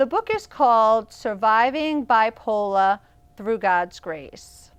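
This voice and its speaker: Speaking at a very slow pace, a woman with an American accent uses a fairly high voice and lively intonation. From Boston, Massachusetts, US. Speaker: evangelist and author. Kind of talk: talk show interview. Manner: animated.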